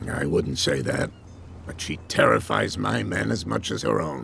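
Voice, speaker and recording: In a raspy put-on character voice, a man speaks with a very deep, low pitch and lively intonation. His pace is moderate, and background noise is clear. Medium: video game. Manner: gruff, guarded.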